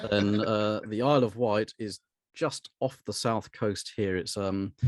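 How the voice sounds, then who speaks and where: In a dry, close sound with no echo, a man with a fairly low pitch speaks at a fairly slow pace with fairly even intonation. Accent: British. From southern England, Hampshire. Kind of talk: podcast interview. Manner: hesitant, many fillers and repeats.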